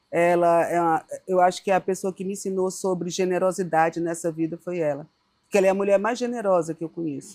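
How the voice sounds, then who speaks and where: A woman speaks at a medium pitch in a dark, mellow tone. Her pace is fairly quick and her intonation fairly even. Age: 60s. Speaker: founder of an arts education organization. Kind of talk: interview.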